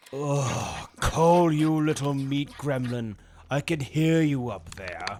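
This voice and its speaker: The pace is fairly slow. A man performs a put-on character voice pitched fairly high. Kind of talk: roleplay narration.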